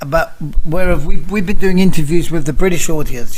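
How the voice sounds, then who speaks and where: Noticeable background noise runs through the clip. A man speaks fairly quickly, his pitch varying in an ordinary way. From London, England. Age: 60s. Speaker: nutritional researcher, activist. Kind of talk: interview; casual chat. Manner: halting, repeats words.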